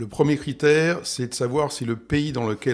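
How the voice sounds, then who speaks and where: A man, in a normal speaking voice, keeps a middling tempo and shows ordinary pitch variation. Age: 60s. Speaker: real estate investment expert. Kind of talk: interview.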